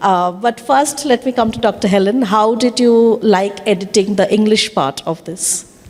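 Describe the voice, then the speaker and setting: With noticeable background noise, a woman talks at a moderate pace and fairly high pitch, varying her pitch in an ordinary way and hardly pausing. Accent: Bengali. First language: Bengali. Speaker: panel moderator. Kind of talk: panel discussion. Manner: halting, many fillers.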